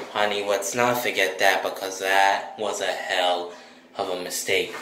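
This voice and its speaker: A man's fairly low voice in a monotone, flat intonation at a moderate pace, with light background noise and audible room echo. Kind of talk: comedic improvised skit dialogue. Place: bathroom. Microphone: phone near.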